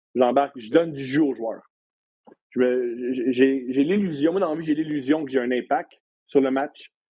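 An ordinary speaking voice from a man, medium in pitch with ordinary pitch variation and a fairly slow pace. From Quebec, Montreal. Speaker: comedian and podcast host. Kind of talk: casual chat. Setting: studio.

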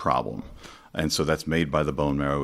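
Speaking at a fairly quick pace, a man has a very deep, low pitch and vocal fry. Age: 50s. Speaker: opera singer. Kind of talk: casual chat.

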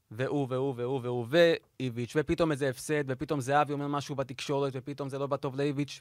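Very fast delivery with fairly even intonation, on a very clean recording with a silent background. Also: man. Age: 30s. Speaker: video editor and sports podcast panelist. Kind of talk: casual chat.

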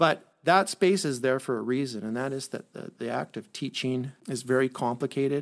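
This man has a medium pitch and a Canadian accent. It is a normal speaking voice, captured in a very clean recording with a silent background. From British Columbia, Canada (Osoyoos, then Duncan on Vancouver Island). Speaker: school superintendent. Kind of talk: interview.

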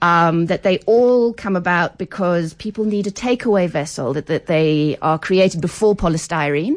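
Speaking at a moderate pace with hardly any pauses, a woman with an English accent uses a fairly low pitch and ordinary pitch variation. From England. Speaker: food anthropologist. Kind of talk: radio interview. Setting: radio studio.

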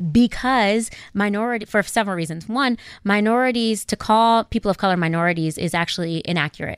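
At a fairly quick pace, a woman with an American accent has an ordinary speaking voice, a medium pitch and ordinary pitch variation, in a very clean recording with a silent background and a dry, close sound with no echo. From US, South Central Los Angeles. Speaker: government diplomat. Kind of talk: radio interview.

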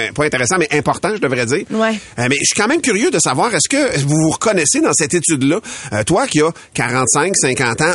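Through noticeable background noise, a man talks at a moderate pace in a fairly high pitch, his pitch swinging very widely. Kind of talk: casual morning radio chat.

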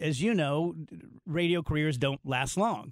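Recorded very cleanly against a silent background, dry and close with no echo, a man uses a normal speaking voice at a fairly high pitch, moderate pace and ordinary pitch variation. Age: 50s. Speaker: radio host and comedian. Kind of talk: interview. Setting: studio.

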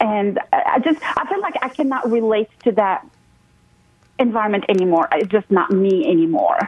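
There is noticeable background noise as a woman speaks at a moderate pace. Her pitch swings very widely. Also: fairly high pitch for a woman. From abroad, moved to the US at 22. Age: 40s. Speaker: real estate investor and mentor. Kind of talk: interview.

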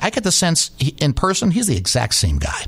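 Against noticeable background noise, a man with an American accent speaks in a fairly high voice. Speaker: sports broadcaster. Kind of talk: casual chat. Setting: studio. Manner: fast.

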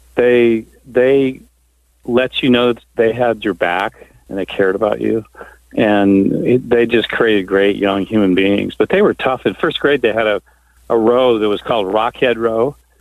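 A man with an American accent has an ordinary speaking voice at medium pitch. He talks at a fairly slow pace with fairly even intonation. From Southern Indiana. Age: 60s. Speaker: caller. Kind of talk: call-in radio conversation. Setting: phone call.

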